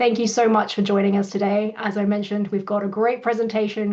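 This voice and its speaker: A woman's medium-pitched, dark, mellow voice in a British accent, at a fairly quick pace, over a quiet background. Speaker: company CEO hosting webinar. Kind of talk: webinar introduction. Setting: online webinar.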